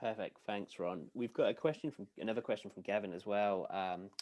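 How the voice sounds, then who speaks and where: A man with a slight British accent speaks at a fairly low pitch. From United Kingdom. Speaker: software sales executive. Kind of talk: webinar Q&A. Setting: webinar video call.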